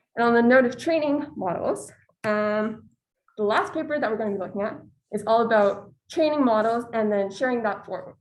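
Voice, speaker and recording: Speaking at a fairly quick pace, a woman uses lively intonation and a fairly high pitch. There is audible room echo in the recording. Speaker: student presenter. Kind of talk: academic presentation.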